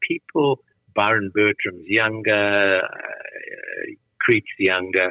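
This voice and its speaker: This is a man speaking. His pitch is fairly low. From South Africa, Johannesburg. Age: 70s. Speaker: tennis camp founder and former player. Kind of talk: interview conversation.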